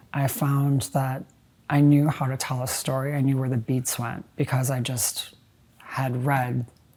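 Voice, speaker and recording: A woman with an American accent speaks at a very deep, low pitch and a fairly slow pace. Her tone is dark and mellow, her intonation a flat monotone. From US Midwest, Chicago. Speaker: writer. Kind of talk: interview. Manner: halting, many fillers.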